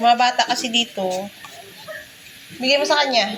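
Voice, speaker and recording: Over noticeable background noise, a woman speaks loudly at a high pitch and a fairly slow pace, with ordinary pitch variation. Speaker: vlogger; mother. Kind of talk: casual vlog, food tasting. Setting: at home.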